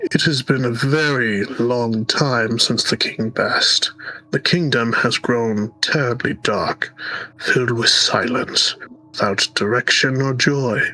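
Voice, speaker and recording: Put-on character voice from a man, medium in pitch, at a fairly slow pace. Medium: game stream. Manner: courtly, theatrical.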